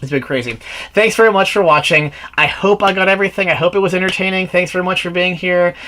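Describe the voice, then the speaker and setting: Over noticeable background noise, a man with a high pitch uses a raised, projected voice at a very fast pace with ordinary pitch variation. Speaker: movie reviewer. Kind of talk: solo video review. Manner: rambling, halting.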